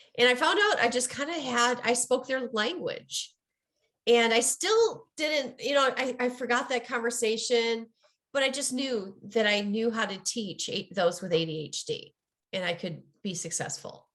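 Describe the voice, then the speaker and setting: A woman's high voice carries lively intonation at a moderate pace. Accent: Midwestern. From US Midwest. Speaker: ADHD coach and author. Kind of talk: interview.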